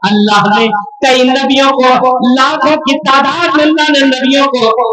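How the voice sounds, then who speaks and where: A man's voice is raised and projected at an extremely high pitch, with ordinary pitch variation. Music plays in the background. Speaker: Islamic scholar / preacher. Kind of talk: Islamic sermon at a religious conference. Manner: oratorical, preaching.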